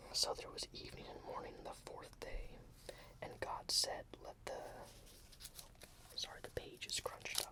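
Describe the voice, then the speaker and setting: A man whispering at a moderate pace, with long, frequent pauses and noticeable background noise. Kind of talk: ASMR bible reading. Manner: whispered.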